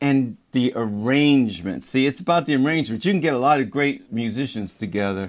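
A man's medium-pitched, plain, everyday voice with an American accent, a fairly quick pace, lively intonation, hardly any pauses, and a quiet background. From Baltimore, US. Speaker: jazz trombonist. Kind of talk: interview.

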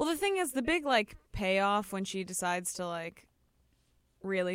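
In a Chicago accent, a woman speaks at a fairly slow pace with a medium pitch and ordinary pitch variation. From US Midwest, Chicago. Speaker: podcast co-host. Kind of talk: casual chat.

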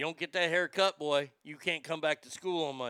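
A man puts on a booming character voice, pitched fairly high. He talks at a fairly quick pace in a dry, close sound with no echo. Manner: stern, scolding.

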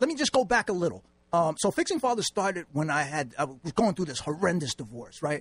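Very fast delivery in a New York accent, full of very wide pitch swings. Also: man, high pitch for a man, dry, close sound with no echo. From New York City, Manhattan. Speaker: author and nonprofit founder. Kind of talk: radio interview.

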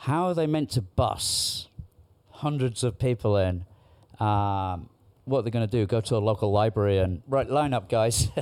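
A man at medium pitch, a normal speaking voice, ordinary pitch variation, and a very clean recording with a silent background. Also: moderate pace. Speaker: guest. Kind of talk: casual chat.

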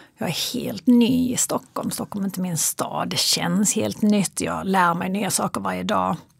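A woman talks at a fairly slow pace. Noticeable background noise runs under her voice. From Sweden, Kristianstad (Skåne). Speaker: psychologist and fitness coach. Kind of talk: interview conversation. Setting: in studio with host, in person.

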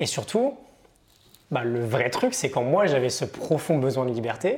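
Very wide pitch swings from a man speaking rather slowly. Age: 30s. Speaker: entrepreneur and online content creator. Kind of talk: casual interview. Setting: coworking space.

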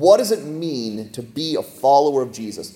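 A man speaks at a medium pitch with lively intonation. Noticeable background noise is present. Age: 40s. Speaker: pastor. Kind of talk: sermon.

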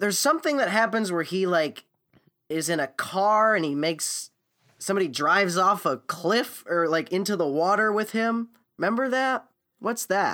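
With an American accent, a man projects a raised, high-pitched voice with a bright, sharp tone and lively intonation. He keeps a moderate pace in a very clean recording with a silent background. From US, Florida (Naples). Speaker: podcast co-host, musician. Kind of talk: casual chat.

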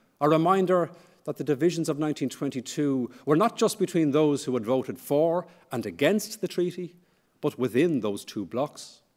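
A man's fairly high-pitched voice with lively intonation, on a very clean recording against a silent background. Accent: Irish. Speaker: history professor. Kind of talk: lecture.

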